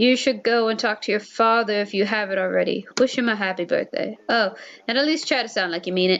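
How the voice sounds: Ordinary pitch variation runs through the speech. It is a natural reading voice.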